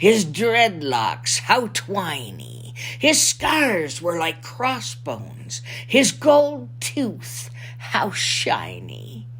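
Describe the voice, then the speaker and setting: A woman talks very slowly in a put-on character voice. Background noise is clearly heard. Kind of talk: children's picture book reading.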